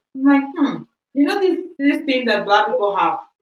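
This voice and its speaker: A woman with a Spanish accent speaks in an animated tone with lively intonation. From Equatorial Guinea heritage, raised in Spain. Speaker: podcast co-host. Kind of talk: casual chat.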